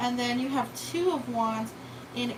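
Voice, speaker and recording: A woman with a fairly high pitch and lively intonation speaks amid noticeable background noise and audible room echo. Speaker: tarot reader. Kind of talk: live tarot reading. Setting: live stream. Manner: casual, conversational.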